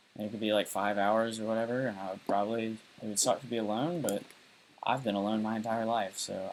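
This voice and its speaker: Very fast, fairly low-pitched male speech with fairly even intonation. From US South. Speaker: live streamer. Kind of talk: casual monologue. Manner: rambling, many fillers.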